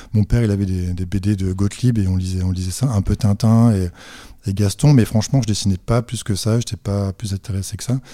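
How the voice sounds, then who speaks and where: A dark, mellow tone at a fairly quick pace with fairly even intonation, dry and close with no echo, on a very clean recording with a silent background. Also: man, fairly low pitch for a man. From northern France (Dunkirk). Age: 40s. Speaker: comic book author. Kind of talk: casual interview. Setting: artist studio. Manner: hesitant, many repetitions.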